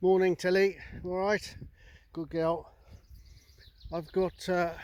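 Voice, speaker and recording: Very slow, relaxed speech from a man at a high pitch with monotone, flat intonation. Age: 60s. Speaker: gundog trainer and dog owner. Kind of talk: casual vlog talk. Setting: outdoors. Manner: relaxed, hesitant with fillers.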